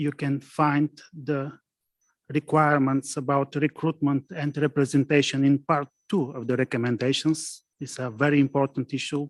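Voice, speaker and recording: Monotone, flat delivery from a man with a non-native accent, fairly high in pitch, at a moderate pace. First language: not English. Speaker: prosecutor. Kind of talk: conference presentation. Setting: conference with interpreters and online participants. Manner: halting.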